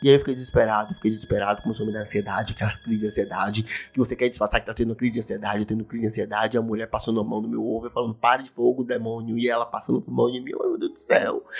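The speech runs at a very fast pace in an animated tone with hardly any pauses. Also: man. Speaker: podcast host. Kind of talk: casual monologue. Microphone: new condenser microphone.

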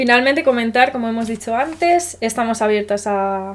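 The recording is very clean, with a silent background. A woman with an ordinary speaking voice talks at a fairly high pitch and a fairly slow pace. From Spain. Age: 20s. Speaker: podcast host. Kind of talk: casual chat.

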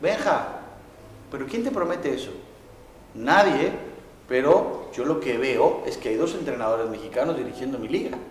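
A man speaks fairly slowly with long, frequent pauses, his voice picking up audible room echo amid noticeable background noise. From Mexico. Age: 40s. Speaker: football coach. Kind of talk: interview.

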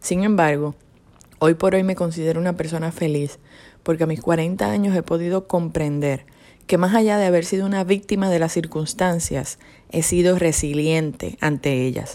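At a moderate pace, a woman speaks in a dark, mellow tone, her fairly low pitch showing ordinary variation. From Puerto Rico. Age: 40s. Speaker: personal testimony speaker. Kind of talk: testimony.

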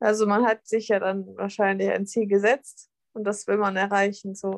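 A woman with an unremarkable speaking voice and fairly high pitch talks at a moderate pace, the sound dry and close with no echo. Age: 20s. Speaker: fitness athlete and nutrition coach. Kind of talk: casual interview.

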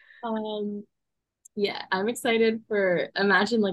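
A woman talks at a moderate pace in a normal speaking voice with a medium pitch. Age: 20s. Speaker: podcast co-host. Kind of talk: casual chat.

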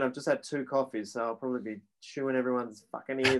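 A man with an Australian accent speaks in a monotone with flat intonation. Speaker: podcast co-host. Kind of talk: casual chat. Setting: video call.

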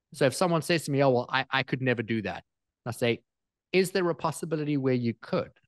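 Against a quiet background, the speaker talks at a very fast pace with ordinary pitch variation. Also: man, medium pitch for a man. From small coastal island town. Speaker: personal growth coach and speaker. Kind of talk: interview.

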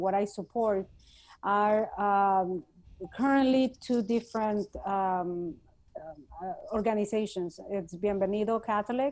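A woman speaks very slowly in a Spanish accent, her intonation fairly even. The recording is very clean and the background silent. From Mexico City. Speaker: political organizer and businesswoman. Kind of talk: podcast interview.

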